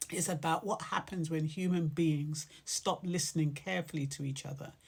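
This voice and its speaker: A woman's very deep, low, somewhat breathy voice in a very clean recording with a silent background. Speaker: poet. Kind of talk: casual talk introducing a poem.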